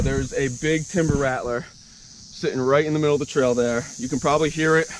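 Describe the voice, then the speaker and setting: A man's fairly high voice, fairly even in intonation, at a fairly quick pace over noticeable background noise. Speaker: thru-hiking vlogger. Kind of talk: outdoor vlog. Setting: outdoors on a hiking trail. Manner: lowered voice.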